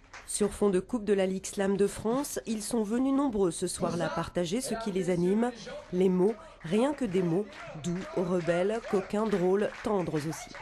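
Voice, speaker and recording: Speech moves at a fairly slow pace. Noticeable background noise is present. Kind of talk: TV news report narration.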